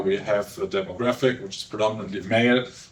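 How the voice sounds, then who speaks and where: A man speaks with a German accent at medium pitch. There is noticeable background noise. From Germany. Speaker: behavioural scientist. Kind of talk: conference talk. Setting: stage with audience. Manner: hesitant, many fillers.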